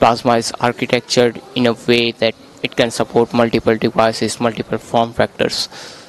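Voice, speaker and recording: Over light background noise, a man with an Indian accent speaks fairly quickly at medium pitch in a monotone, flat intonation, the sound dry with no echo. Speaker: software developer. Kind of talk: interview. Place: hall. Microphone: handheld.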